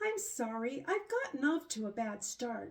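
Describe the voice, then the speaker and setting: Using a put-on character voice, a woman speaks high at a moderate pace, her pitch swinging very widely. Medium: read story. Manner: eager, sweet.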